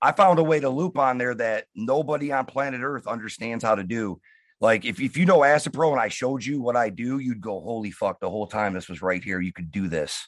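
With an American accent and a normal speaking voice, a man at medium pitch talks at a fairly quick pace with lively intonation and hardly any pauses against a quiet background. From Detroit. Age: 30s. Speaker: hip hop producer. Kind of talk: casual interview.

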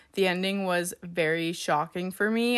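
A woman with an American accent talks at a moderate pace with fairly even intonation. Her pitch is fairly low and her tone fairly bright.

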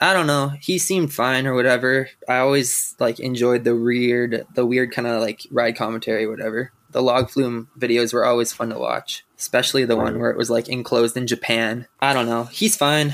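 A man speaks with a Canadian Prairie accent and fairly even intonation. His pace is fairly quick, with hardly any pauses. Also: medium pitch for a man. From Saskatchewan, Canada. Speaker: roller coaster enthusiast. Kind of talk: casual chat.

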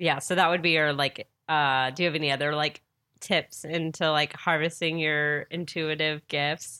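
A woman talks at a moderate pace in a very deep, low voice, with very even loudness and monotone, flat intonation. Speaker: podcast host and comedian. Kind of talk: casual chat.

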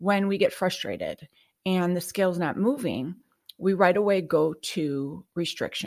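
The sound is dry and close with no echo as a woman speaks at a medium pitch with ordinary pitch variation. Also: very clean recording, silent background. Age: 50s. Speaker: nutrition coach and podcast host. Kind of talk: solo talk show monologue. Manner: halting, many fillers.

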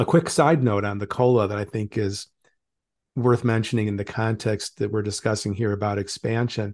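A man with an American accent speaks in a normal speaking voice at a moderate pace, his fairly low pitch carried by fairly even intonation. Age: 60s. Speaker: retirement writer. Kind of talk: interview.

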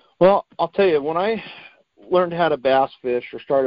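Speaking at a fairly quick pace with an American accent, a man uses an unremarkable speaking voice with ordinary pitch variation. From Oregon, Portland area. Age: 40s. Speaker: angler and law enforcement officer, former Marine. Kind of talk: casual interview.

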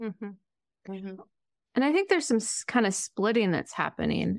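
Over a quiet background, a woman with an ordinary speaking voice talks at a fairly quick pace with ordinary pitch variation in a dry, close sound with no echo. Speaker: podcast co-host, therapist. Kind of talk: casual interview chat.

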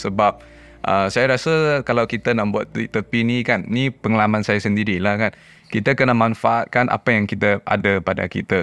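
A man with an ordinary speaking voice, fairly low in pitch, at a moderate pace with fairly even intonation, over a quiet background. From Penang, Malaysia. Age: 30s. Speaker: young father, private sector professional. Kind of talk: casual chat. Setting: studio.

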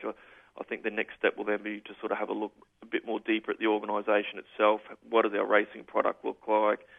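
This man, with an Australian accent and a fairly low pitch, talks at a very fast pace. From far north Queensland, Australia. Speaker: racing club manager. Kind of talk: radio interview.

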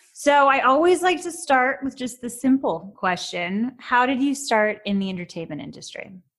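A woman with an American accent speaks at a high pitch, with very wide pitch swings and big swings in loudness. She keeps a moderate pace with hardly any pauses. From New York City. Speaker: podcast host and actress. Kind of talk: interview; scripted narration.

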